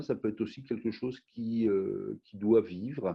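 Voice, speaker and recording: This man has a fairly low pitch with ordinary pitch variation. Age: 60s. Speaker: wine company founder. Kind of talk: interview.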